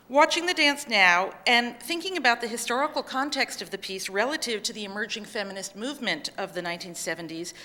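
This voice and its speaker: Over noticeable background noise, a woman with a fairly high pitch talks at a fairly quick pace with very wide pitch swings. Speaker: dance historian presenting a paper. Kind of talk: conference paper reading. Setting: conference session with audience.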